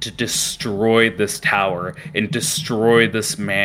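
The voice is reading aloud in a natural voice, with fairly even intonation.

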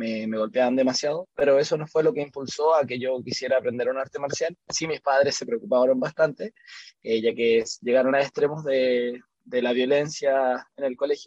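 A man with a Chilean accent at medium pitch and moderate pace, with ordinary pitch variation and a dry, close sound with no echo. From Chile, Santiago. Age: 30s. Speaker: kickboxing coach. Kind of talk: interview. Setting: remote call.

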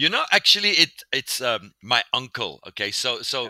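The man's voice has a bright, sharp tone in a dry, close sound with no echo. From South Africa. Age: 50s. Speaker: pastor. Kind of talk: interview.

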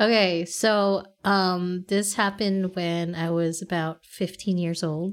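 A woman speaks at a very slow pace in a monotone, flat voice. The recording is very clean, with a silent background. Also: medium pitch for a woman, hardly any pauses. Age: 30s. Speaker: podcast co-host. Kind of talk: casual chat.

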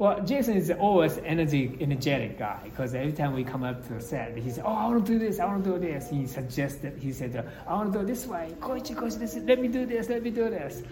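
A man with a Japanese accent speaks very fast at a high pitch with very wide pitch swings and hardly any pauses, amid noticeable background noise and audible room echo. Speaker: film director. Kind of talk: interview. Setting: convention. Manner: halting.

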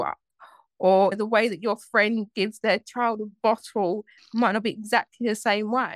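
At a moderate pace, a woman with a normal speaking voice talks at a fairly high pitch, her sound dry and close with no echo. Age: 20s. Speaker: mindset coach. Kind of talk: interview.

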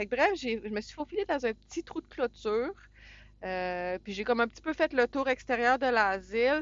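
With a Quebec accent, a woman speaks in a high pitch at a moderate pace. Her intonation is lively, and her loudness swings widely. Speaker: truck driver and podcast co-host. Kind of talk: casual chat. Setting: in a truck.

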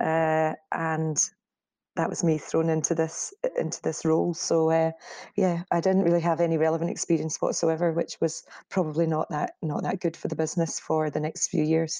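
In a Scottish accent, a woman speaks with fairly low pitch and a dark, mellow tone. Her intonation is monotone and flat, her loudness very even, and the sound is dry and close with no echo. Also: moderate pace. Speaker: media company co-founder. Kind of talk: interview. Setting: remote call.

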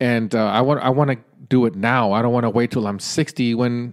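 Moderate pace and medium pitch from a man with an ordinary speaking voice. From Mexican-American. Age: 40s. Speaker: podcast host. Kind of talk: solo monologue. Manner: casual, filler-heavy.

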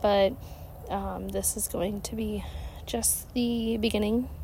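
A woman with an American accent, very slow, with long, frequent pauses and audible room echo. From Ohio, US. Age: 30s. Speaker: podcast host. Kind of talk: casual monologue. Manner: hesitant, many fillers.

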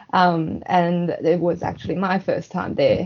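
A woman with a Chinese accent and monotone, flat intonation. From China, Shenyang. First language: Mandarin Chinese. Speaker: guest. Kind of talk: casual chat. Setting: video call.

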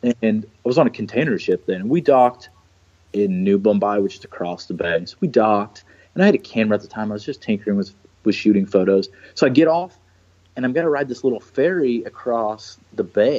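At a fairly quick pace, a man talks with lively intonation and a dark, mellow tone at a medium pitch. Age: 30s. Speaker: ship captain. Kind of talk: casual chat. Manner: animated.

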